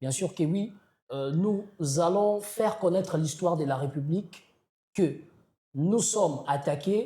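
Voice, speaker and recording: A man with a Congolese accent speaks in a high voice with a dark, mellow tone. His delivery is very slow, broken by long, frequent pauses. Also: ordinary pitch variation. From DR Congo. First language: Kikongo (speaking French). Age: young. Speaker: slam poet. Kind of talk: interview. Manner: halting, many hesitations.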